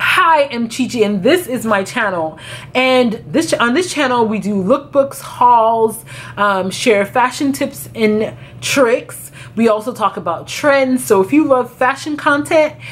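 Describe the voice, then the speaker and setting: The woman's intonation is lively. She speaks at a fairly slow pace. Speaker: fashion vlogger. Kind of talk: casual vlog chat. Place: home room.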